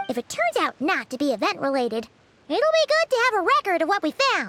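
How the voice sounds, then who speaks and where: In a put-on character voice with an extremely high pitch, the speaker moves at a fairly quick pace. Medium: video game. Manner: calm, measured.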